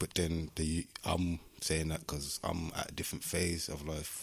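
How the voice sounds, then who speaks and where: A man's very deep, low voice stays monotone, with flat intonation. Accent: Midlands. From Birmingham, West Midlands, England. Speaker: musician and community project founder. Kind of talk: casual interview chat.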